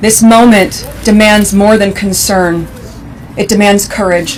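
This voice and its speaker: Amid noticeable background noise, a woman speaks at medium pitch and a moderate pace in a serious tone, her intonation monotone and flat. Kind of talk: formal public speech at a memorial event. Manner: serious, emotional, measured.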